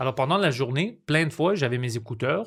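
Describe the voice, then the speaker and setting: A man speaks at a fairly quick pace with a medium pitch and a somewhat breathy voice. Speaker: comedian and podcaster. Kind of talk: casual chat. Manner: halting.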